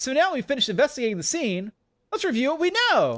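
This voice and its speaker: A man puts on a character voice with an extremely high pitch. He speaks at a very fast pace. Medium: virtual streamer. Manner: gruff, blunt, dismissive.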